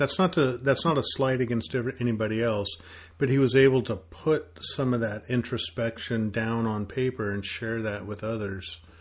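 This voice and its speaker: In a normal speaking voice, a man talks at a moderate pace and medium pitch with ordinary pitch variation, against a quiet background. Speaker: podcast co-host.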